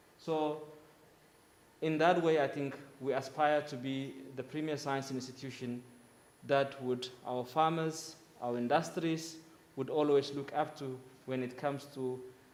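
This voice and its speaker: At a fairly slow pace, a man speaks with a fairly high pitch in a monotone, flat intonation, leaving long, frequent pauses. Audible room echo surrounds his voice. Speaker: conference speaker from agricultural research institution. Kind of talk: conference presentation. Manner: loud.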